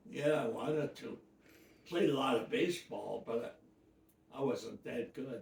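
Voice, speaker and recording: A man with an American accent speaks at a fairly slow pace, somewhat breathy and fairly high-pitched, leaving long, frequent pauses. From US Midwest, Detroit. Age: 90s. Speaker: elderly interviewee. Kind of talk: life-story interview. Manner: halting.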